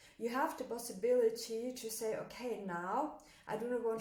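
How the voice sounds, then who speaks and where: With a German accent, a woman speaks at a moderate pace, fairly high in pitch with fairly even intonation, amid noticeable background noise and audible room echo. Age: 20s. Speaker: motivational coach. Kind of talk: motivational talk. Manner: hesitant, many fillers.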